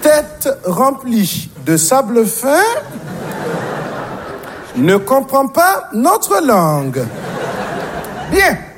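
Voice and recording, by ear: Over faint crowd noise and other faint background noise, a man in a put-on character voice talks at an extremely high pitch with big pitch swings, a very slow pace, and long, frequent pauses. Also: fairly bright tone.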